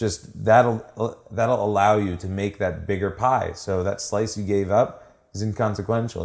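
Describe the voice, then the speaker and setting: A man with an ordinary speaking voice and a fairly low pitch speaks at a moderate pace with fairly even intonation and hardly any pauses, in a very clean recording with a silent background. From Washington D.C. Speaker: startup founder. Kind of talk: interview. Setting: at his apartment.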